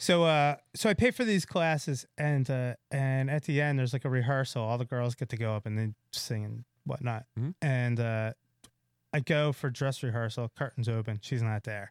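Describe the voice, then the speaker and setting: A man in a normal speaking voice talks at a moderate pace with medium pitch, ordinary pitch variation and hardly any pauses. The recording is very clean and dry, with a silent background and a close sound with no echo. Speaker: comedian. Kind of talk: casual chat. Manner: joking, dark humor.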